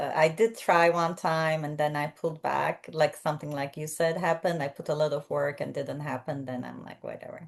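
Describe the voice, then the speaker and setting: A woman with a non-native accent and a very deep, low pitch talks at a moderate pace with ordinary pitch variation. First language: not English. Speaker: podcast host. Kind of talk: casual interview chat.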